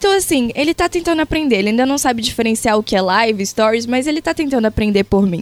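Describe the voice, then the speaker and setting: Speaking at a very fast pace with hardly any pauses, a woman with a high pitch makes very wide pitch swings at very even loudness, in a dry, close sound with no echo. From Brazil, Pará (Castanhal). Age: 20s. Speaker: social media influencer. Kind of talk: interview.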